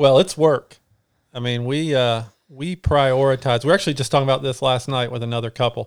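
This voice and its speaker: In a very clean recording with a silent background, a man with a normal speaking voice talks at a medium pitch and a fairly quick pace, his intonation fairly even. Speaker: ultra runner and co-instructor. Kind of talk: casual interview chat.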